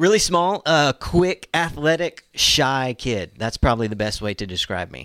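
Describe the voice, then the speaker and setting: A man's bright, sharp voice in an American accent, with very wide pitch swings, big swings in loudness and hardly any pauses, in a dry, close, very clean recording with a silent background. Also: medium pitch for a man, moderate pace. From Oklahoma (Tulsa). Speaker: student pastor. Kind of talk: casual interview.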